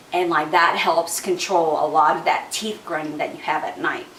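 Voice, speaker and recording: There is audible room echo and noticeable background noise. A woman speaks with big swings in loudness. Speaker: essential oils vlogger. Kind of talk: casual product tutorial. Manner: fast; chatty, many fillers.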